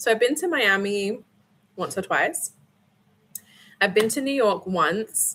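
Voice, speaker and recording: Speaking in an American accent, a woman with a medium pitch uses lively intonation at a moderate pace, her tone bright, sharp and relaxed. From mixed: Scotland, Abu Dhabi, UK, Australia. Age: 30s. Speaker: livestreamer. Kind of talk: casual chat. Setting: livestream at home. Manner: chatty, relaxed with filler ums.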